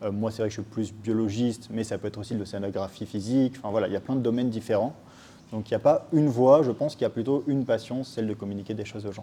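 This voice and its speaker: Talking very fast, a man uses fairly even intonation. His medium-pitched voice has a dark, mellow tone. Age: 20s. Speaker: science educator. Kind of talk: interview. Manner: hesitant, many filler words.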